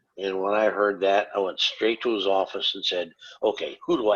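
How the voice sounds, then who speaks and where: A man with an Upper Midwest accent talks at a fairly slow pace. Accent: Upper Midwest American. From northern Wisconsin. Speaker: comic book artist. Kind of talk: casual interview chat.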